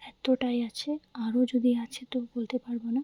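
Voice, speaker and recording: Soft-spoken and monotone, a woman talks in a dark, mellow tone, the sound dry and close without echo. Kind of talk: casual talk to camera. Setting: lo-fi ASMR recording.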